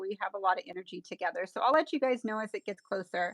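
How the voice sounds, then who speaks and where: A woman's plain, everyday voice, medium in pitch and at a fairly quick pace, with a dry, close sound and no echo. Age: 50s. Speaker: nail artist and educator. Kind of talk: live stream tutorial chat.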